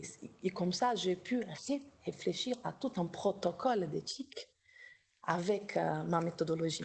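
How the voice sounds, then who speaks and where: A woman speaks with a slight Brazilian accent and ordinary pitch variation. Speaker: doctoral researcher in psychology, workshop co-organizer. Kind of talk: academic workshop discussion. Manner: halting, many repetitions.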